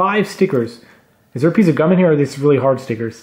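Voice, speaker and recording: Here a man talks with very wide pitch swings. The background is quiet. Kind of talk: casual unboxing commentary. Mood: cheerful, pleased. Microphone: camera far.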